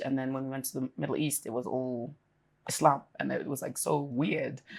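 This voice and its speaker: A woman with an American accent and a very deep, low pitch speaks at a fairly quick pace with vocal fry, in a very clean recording with a silent background. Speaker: businesswoman's wife, interview guest. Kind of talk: interview. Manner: animated, casual with many fillers.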